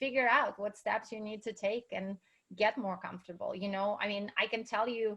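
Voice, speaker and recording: A woman with a Russian accent talks at a moderate pace in a fairly high pitch with fairly even intonation. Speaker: entrepreneur and speaker. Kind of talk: interview.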